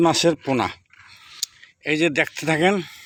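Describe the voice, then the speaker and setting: High-pitched male speech with fairly even intonation. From Bangladesh, Barisal district. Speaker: fish farmer. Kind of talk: sales pitch. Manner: halting.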